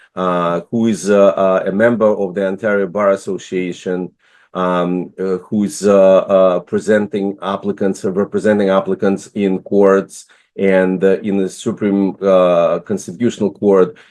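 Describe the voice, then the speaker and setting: In a Russian accent, the speaker talks at a fairly slow pace with monotone, flat intonation against a quiet background. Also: man, fairly low pitch for a man. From Russia, Moscow. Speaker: business immigration consultant, investor. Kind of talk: online presentation. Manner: halting, many fillers.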